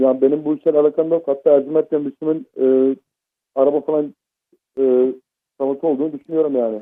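A man with a fairly high pitch speaks very fast in a flat monotone, broken by long, frequent pauses. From Izmir. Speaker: prank call victim. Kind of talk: phone call. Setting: phone call. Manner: halting. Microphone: muffled phone line.

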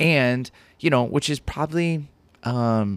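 The recording is very clean with a silent background. A man with an American accent and an unremarkable speaking voice talks at a fairly slow pace and medium pitch. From Southern California (Ventura County). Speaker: pastor. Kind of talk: casual interview chat. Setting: studio.

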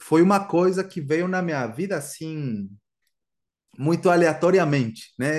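Over a quiet background, a man with fairly high pitch and ordinary pitch variation talks at a fairly slow pace. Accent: Guatemalan. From Guatemala. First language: Spanish (speaking Portuguese). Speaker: musician and Spanish teacher. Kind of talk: casual interview.

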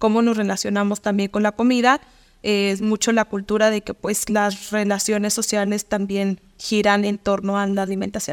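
Monotone, flat speech at a moderate pace, in a very clean, silent recording that is dry and close with no echo. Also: woman, medium pitch for a woman. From Mexico, Durango. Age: 30s. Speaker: nutritionist. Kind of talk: interview.

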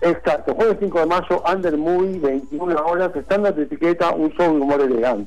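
Hardly pausing, a man talks at a moderate pace with a high pitch. His loudness stays very even. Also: ordinary pitch variation. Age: 40s. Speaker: comedian. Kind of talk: casual chat.

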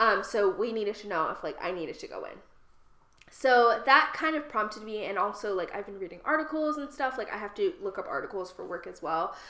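With an American accent, a woman talks at a fairly quick pace in a fairly high voice, her lively intonation and big swings in loudness set against noticeable background noise. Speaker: podcast co-host. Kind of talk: casual chat.

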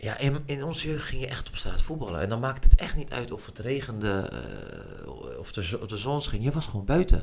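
Speaking at a fairly quick pace with lively intonation and big swings in loudness, a man uses an unremarkable speaking voice at medium pitch. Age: 30s. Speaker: street football organiser. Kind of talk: casual interview.

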